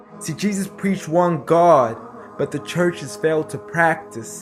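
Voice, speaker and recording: Music plays in the background as a man talks at a fairly slow pace. His voice is high with very wide pitch swings. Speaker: spoken word poet. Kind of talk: spoken word poetry performance.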